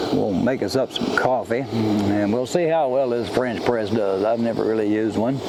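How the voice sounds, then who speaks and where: With an American accent and a relaxed tone, a man at a medium pitch talks at a moderate pace with hardly any pauses, very even loudness and ordinary pitch variation, amid audible room echo and noticeable background noise. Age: 70s. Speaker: outdoors vlogger. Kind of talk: casual vlog talk. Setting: outdoors in woods. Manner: relaxed, folksy.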